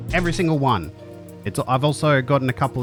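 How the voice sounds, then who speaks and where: A man with an Australian accent, music in the background. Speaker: streamer. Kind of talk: video intro to camera.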